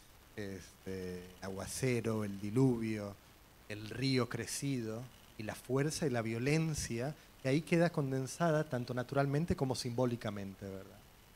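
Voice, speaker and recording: A man speaks in an ordinary speaking voice at a medium pitch, with ordinary pitch variation and a fairly slow pace. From Puerto Rico. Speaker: novelist; panel author. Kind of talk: literary panel discussion. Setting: library event with audience. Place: hall.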